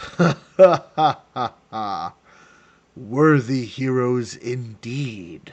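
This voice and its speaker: A man's put-on character voice at medium pitch, delivered at a very slow pace. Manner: booming, laughing.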